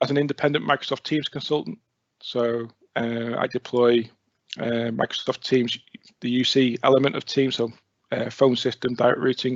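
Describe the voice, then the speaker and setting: Speaking in a North Wales accent, a man keeps a medium pitch and fairly even intonation at a moderate pace, with long, frequent pauses. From North Wales (near Rhyl). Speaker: IT consultant. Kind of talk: presentation.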